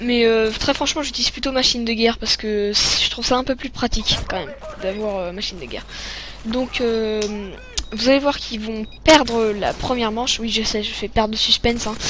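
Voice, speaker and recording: A woman speaks at a fairly high pitch and a fairly quick pace, with fairly even intonation. Noticeable noise can be heard in the background. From France. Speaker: gaming commentator. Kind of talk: gameplay commentary. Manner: hesitant, many fillers.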